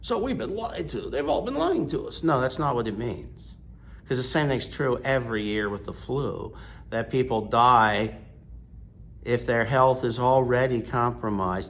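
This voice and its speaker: Speaking at a moderate pace with an American accent, a man uses a medium pitch, ordinary pitch variation and vocal fry, with audible room echo. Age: 60s. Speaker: priest. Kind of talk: sermon. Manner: forceful.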